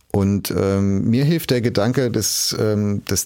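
Speaking with a normal speaking voice, a man keeps a fairly low pitch and ordinary pitch variation. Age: 40s. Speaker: media executive. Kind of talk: interview.

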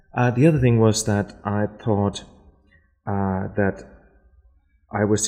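A dark, mellow voice with a German accent shows ordinary pitch variation. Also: man, long, frequent pauses. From Germany, Berlin. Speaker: architecture lecturer. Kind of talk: casual interview.

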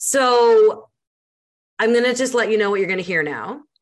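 A woman's voice with a Canadian accent. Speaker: podcast host and speaker. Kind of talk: casual chat. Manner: fast talker.

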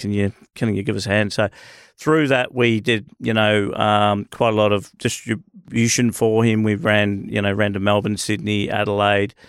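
The speaker has an Australian accent and a moderate pace. The sound is dry and close with no echo, in a very clean recording with a silent background. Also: man. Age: 50s. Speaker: barber shop business owner. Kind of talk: casual interview. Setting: studio.

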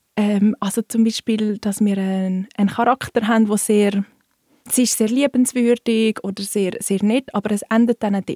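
Speaking fairly slowly, a woman uses a fairly high pitch with monotone, flat intonation and a dark, mellow tone. The sound is dry and close, with no echo. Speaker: bookseller. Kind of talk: casual chat.

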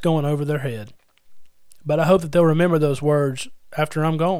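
A man with a fairly high voice talks at a fairly quick pace, his ordinary pitch variation carrying some audible room echo. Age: 30s. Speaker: podcast host and preacher. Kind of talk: sermon-style Bible teaching podcast.

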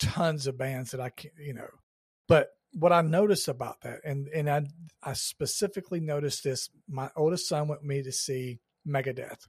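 Using ordinary pitch variation, a man with an American accent and fairly high pitch speaks at a moderate pace, somewhat breathy and with big swings in loudness. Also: dry, close sound with no echo, very clean recording, silent background. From Georgia, US South. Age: 50s. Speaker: podcast host. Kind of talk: casual interview chat.

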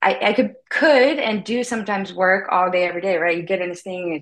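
An ordinary speaking voice, a woman's, fairly low in pitch with an American accent, at a moderate pace with ordinary pitch variation over a quiet background. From US South, Louisiana. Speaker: documentary filmmaker. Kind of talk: interview.

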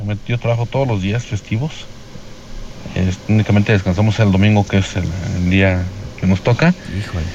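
A man talks at a fairly quick pace with a fairly low pitch and ordinary pitch variation. He leaves long, frequent pauses, and there is noticeable background noise. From Guanajuato, Mexico. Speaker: listener caller, tradesman. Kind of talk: recorded voice message to radio show.

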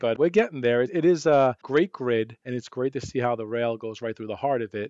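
Talking at a fairly quick pace in a New York accent, a man uses a medium pitch with ordinary pitch variation, in a dry, close sound with no echo and a quiet background. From New York City. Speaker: transit executive. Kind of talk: casual interview.

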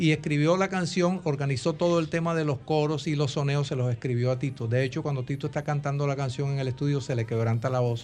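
A somewhat breathy man with a fairly high pitch, a very fast pace, fairly even intonation, and hardly any pauses. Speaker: composer and music director. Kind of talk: interview. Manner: formal.

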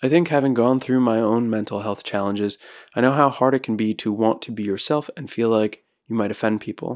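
On a very clean, dry, close recording with a silent background and no echo, a man with an unremarkable speaking voice talks fairly quickly at a medium pitch with fairly even intonation. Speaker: podcast host and poet. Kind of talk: poetry reading, spoken word.

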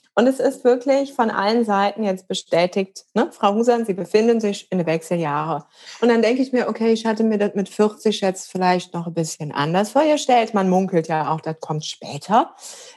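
Using a normal speaking voice, a woman of medium pitch talks at a moderate pace with lively intonation and hardly any pauses. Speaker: coach and yoga teacher. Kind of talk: casual interview chat.

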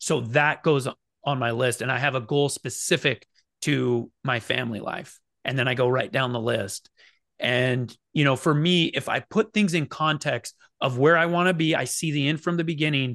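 An ordinary speaking voice talks at a moderate pace with ordinary pitch variation. The sound is dry and close with no echo, and the background is quiet. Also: man, fairly high pitch for a man. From eastern Oregon, near the Idaho border. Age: 40s. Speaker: business founder and CEO. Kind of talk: interview.

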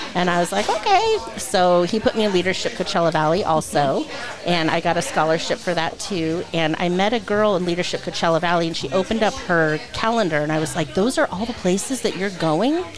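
A woman with a fairly low pitch talks at a fairly quick pace with hardly any pauses and ordinary pitch variation. Audible room echo and noticeable background noise fill the recording. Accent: American. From Southern California (Diamond Bar). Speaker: children's museum director. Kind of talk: casual chat.

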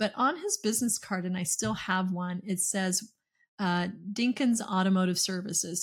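Somewhat breathy and in an American accent, a woman talks at a medium pitch with fairly even intonation on a very clean recording with a silent background. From US Deep South, Okefenokee Swamp area (south Georgia). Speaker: dental business coach and CEO. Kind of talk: podcast interview.

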